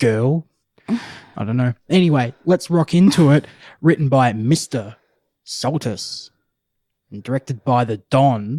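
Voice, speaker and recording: A man with a fairly high pitch and a dark, mellow tone speaks fairly slowly with lively intonation and long, frequent pauses, his sound dry and close with no echo in a very clean recording with a silent background. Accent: Australian. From Australia. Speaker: podcast co-host. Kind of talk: casual chat.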